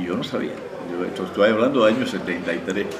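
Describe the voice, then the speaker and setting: A man speaks at a fairly low pitch with ordinary pitch variation. There is audible room echo and noticeable background noise. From Cuba. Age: 70s. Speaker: playwright and screenwriting teacher. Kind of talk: interview. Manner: halting, with frequent fillers and repetitions.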